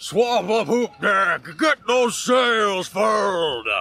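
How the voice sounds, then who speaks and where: Shouting in a put-on character voice, a man drags out his words at a very slow pace with a high pitch. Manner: screaming orders.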